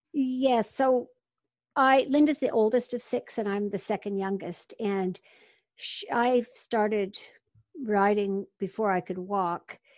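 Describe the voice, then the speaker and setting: A woman with a fairly high pitch speaks at a very slow pace. Her pitch varies in an ordinary way, and the background is quiet. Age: 60s. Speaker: horse and dog training method teacher. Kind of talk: interview.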